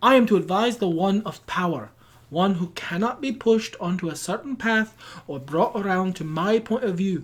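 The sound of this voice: Unforced reading aloud, its pitch shifting a normal amount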